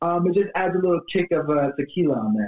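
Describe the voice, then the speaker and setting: Talking at a fairly quick pace, a man speaks with an American accent. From Miami, Florida; Haitian family. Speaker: bartending business owner. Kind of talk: casual interview.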